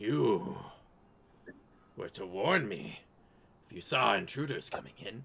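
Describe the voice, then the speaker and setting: A man puts on a raspy character voice at a medium pitch, talking fairly slowly with long, frequent pauses. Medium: actual play. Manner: scheming, possessive.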